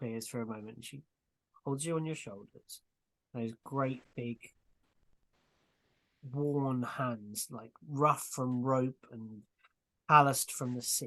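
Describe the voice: A man's medium-pitched voice in a fairly bright tone, slow-paced with fairly even intonation and long, frequent pauses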